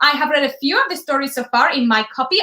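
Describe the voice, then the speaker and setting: A woman with an American accent projects a raised, high-pitched voice with a bright, sharp tone at a fairly quick pace. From US East Coast. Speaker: live stream host. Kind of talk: casual chat.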